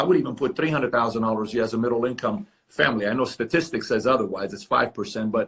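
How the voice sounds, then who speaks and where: His pitch is medium and varies in an ordinary way. The man talks at a very fast pace. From Iran. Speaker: entrepreneur interviewer. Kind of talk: interview conversation. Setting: video call from office.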